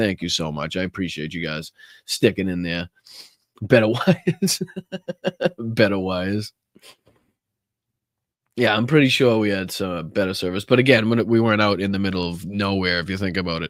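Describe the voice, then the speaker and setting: With a Boston accent and a fairly low pitch, a man speaks with long, frequent pauses in a dry, close sound with no echo. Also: ordinary pitch variation, moderate pace. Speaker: political commentator, podcast host. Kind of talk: casual livestream talk to audience.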